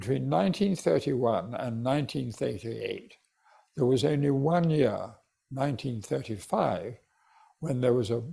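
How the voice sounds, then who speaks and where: A man speaks at a medium pitch and a moderate pace with lively intonation. His tone is dark and mellow, and somewhat breathy. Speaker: retired judge and author. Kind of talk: interview answer.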